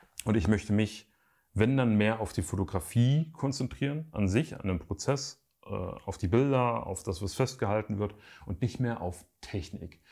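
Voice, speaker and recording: Over a quiet background, a man speaks at a fairly slow pace with lively intonation, a fairly low pitch and a dark, mellow tone. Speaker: YouTuber and photographer; photography youtuber. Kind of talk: casual vlog update to viewers. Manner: casual, hesitant with fillers. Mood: calm, reflective. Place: home room.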